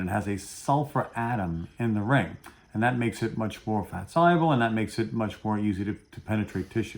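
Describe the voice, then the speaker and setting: A man speaks with a Brooklyn accent. His pace is fairly quick. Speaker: pharmacist, dental pharmacology educator. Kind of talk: interview, educational explanation.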